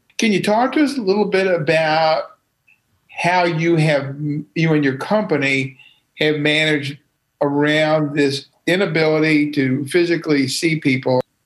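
At a fairly slow pace, a man with an unremarkable speaking voice talks at a fairly high pitch, with ordinary pitch variation and very even loudness. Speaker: podcast co-host. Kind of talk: casual chat.

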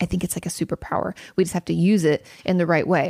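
This woman has an American accent and a medium pitch, and she talks at a very fast pace. The sound is dry and close, with no echo. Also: very clean recording, silent background. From Washington State, US. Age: 30s. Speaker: therapist and podcast host. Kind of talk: advice Q&A monologue. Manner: casual, laughing often.

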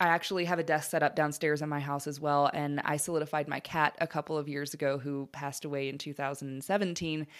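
A woman with a very deep, low pitch talks at a very fast pace with hardly any pauses and monotone, flat intonation. The recording is very clean, with a silent background. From Alabama. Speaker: death care educator. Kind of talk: interview.

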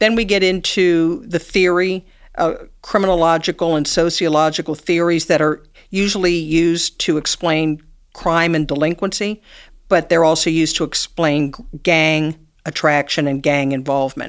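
A woman speaks in a normal speaking voice at a moderate pace, fairly low in pitch with fairly even intonation. The recording is very clean, with a silent background. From US Midwest, Cincinnati, Ohio. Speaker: retired judge. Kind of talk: interview.

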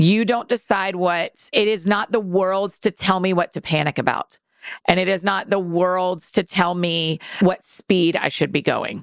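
At a fairly slow pace, a woman speaks in a plain, everyday voice of medium pitch with fairly even intonation, the sound dry and close with no echo. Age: 40s. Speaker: author and podcaster. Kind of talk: casual chat. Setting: studio.

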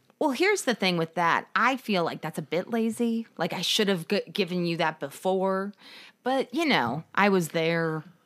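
On a very clean recording with a silent background, a woman with an unremarkable speaking voice talks at a moderate pace in a medium pitch with lively intonation. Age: 30s. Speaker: podcast co-host. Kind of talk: casual chat. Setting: home dining room.

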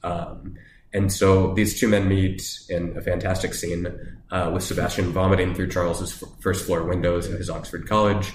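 Audible room echo surrounds a man speaking at a fairly slow pace, his very deep, low pitch held in fairly even intonation. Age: 30s. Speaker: academic theologian. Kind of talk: casual chat.

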